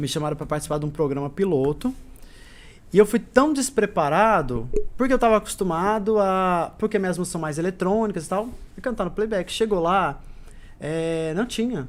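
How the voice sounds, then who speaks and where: The recording is very clean, with a silent background. A man with a high pitch and lively intonation speaks at a moderate pace. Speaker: singer and stage actor. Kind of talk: interview chat. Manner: loud; talkative.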